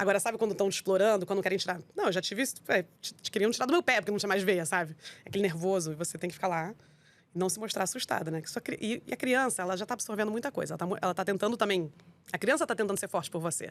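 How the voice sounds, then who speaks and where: A woman at a medium pitch speaks at a very fast pace. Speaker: wine entrepreneur. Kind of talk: interview.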